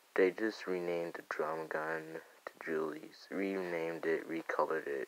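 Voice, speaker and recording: A soft-spoken man talks with a very deep, low pitch in a monotone, flat intonation. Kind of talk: casual gaming commentary. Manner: quiet, soft-spoken; hesitant, stuttering.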